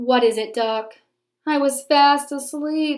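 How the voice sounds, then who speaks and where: A woman's high-pitched, put-on character voice at a fairly slow pace, in a very clean recording with a silent background. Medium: read story. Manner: tired, grumbling.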